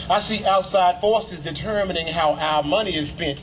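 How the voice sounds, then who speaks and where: A man with a high voice at a moderate pace, over noticeable background noise. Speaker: spoken word poet. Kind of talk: spoken word poetry performance. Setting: outdoors.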